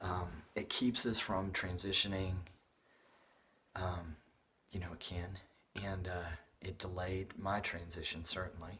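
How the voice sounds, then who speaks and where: A resonant voice with a bright, sharp tone moves at a very slow pace in a flat monotone, broken by long, frequent pauses. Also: man. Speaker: artist and video blogger. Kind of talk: casual vlog update. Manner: halting, many fillers.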